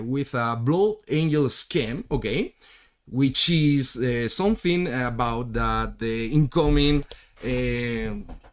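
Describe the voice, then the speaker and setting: At a very slow pace, a man with a non-native accent talks in a medium pitch with ordinary pitch variation. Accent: non-native English, self-described weird. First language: Spanish. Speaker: miniature painter streamer. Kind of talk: live stream tutorial chat. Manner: halting, many fillers and repetitions.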